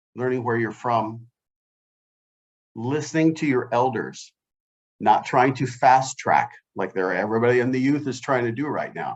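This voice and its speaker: A man with a medium pitch speaks at a moderate pace with ordinary pitch variation. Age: 60s. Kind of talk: panel discussion. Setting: video call.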